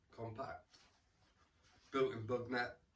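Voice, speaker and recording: Against noticeable background noise, a man talks at a fairly slow pace and medium pitch. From England, Rutland. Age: 40s. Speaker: camping vlogger. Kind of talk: casual gear walkthrough. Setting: at home in lounge. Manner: casual, repetitive stammering.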